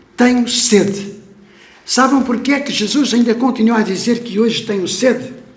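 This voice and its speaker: A man speaks at an extremely high pitch with fairly even intonation and a moderate pace. Room echo is audible. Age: 70s. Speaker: pastor. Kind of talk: sermon. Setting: church. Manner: emotional, impassioned.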